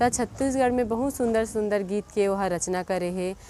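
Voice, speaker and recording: A woman's medium-pitched voice comes over background music. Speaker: YouTube channel host. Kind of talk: scripted introduction.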